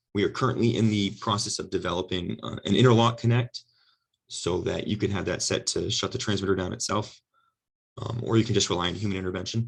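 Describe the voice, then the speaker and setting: A man puts on a hoarse character voice, fairly low in pitch, racing along at a very fast pace with fairly even intonation. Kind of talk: technical presentation.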